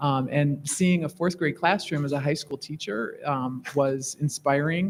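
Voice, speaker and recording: A man speaks at a moderate pace with a fairly high pitch and ordinary pitch variation. His voice is somewhat breathy, and the recording is very clean with a silent background. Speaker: school district administrator, former high school teacher. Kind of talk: board meeting remarks. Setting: school board meeting in school facility. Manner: halting.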